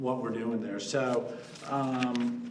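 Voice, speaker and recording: A man talks at medium pitch. Audible room echo and noticeable background noise are present. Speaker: developer presenting to city council. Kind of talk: public presentation at council meeting. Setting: council chamber meeting.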